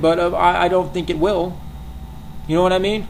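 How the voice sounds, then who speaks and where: The speech comes at a very fast pace, with audible room echo and noticeable background noise. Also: man. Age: 20s. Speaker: vlogger. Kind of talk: rant. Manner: halting, many repetitions and fillers.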